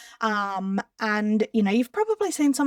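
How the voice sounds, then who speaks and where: At a fairly slow pace, a woman talks with an Australian accent, the sound dry and close with no echo. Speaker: social media content creator. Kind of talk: tutorial. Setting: screen share recording. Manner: casual.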